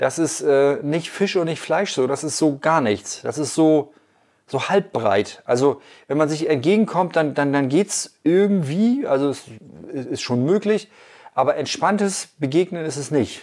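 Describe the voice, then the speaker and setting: On a very clean recording with a silent background, a man with a fairly high voice speaks at a fairly slow pace with lively intonation. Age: 50s. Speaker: podcast host and bike commuter. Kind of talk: casual interview. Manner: hesitant with many fillers.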